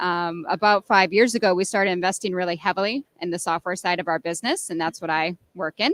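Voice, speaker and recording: A woman with an American accent and an ordinary speaking voice talks at a fairly quick pace and medium pitch with fairly even intonation, the sound dry and close with no echo, on a very clean recording with a silent background. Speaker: software product strategist. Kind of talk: interview. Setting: exhibition floor.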